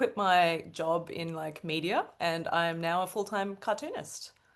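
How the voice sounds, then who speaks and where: A woman speaks with an Australian accent. Her pitch is fairly low, with ordinary pitch variation. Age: 30s. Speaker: cartoonist. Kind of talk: casual chat.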